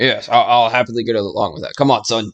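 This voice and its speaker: A man in a raspy, put-on character voice at a medium pitch, at a very fast pace, with big swings in loudness. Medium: actual play. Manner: hesitant, folksy.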